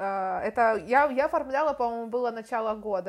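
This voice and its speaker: A woman talks in an unremarkable speaking voice. Her pitch sits fairly high, with ordinary pitch variation. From Ukraine, Kharkiv. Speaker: podcast host. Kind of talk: casual interview.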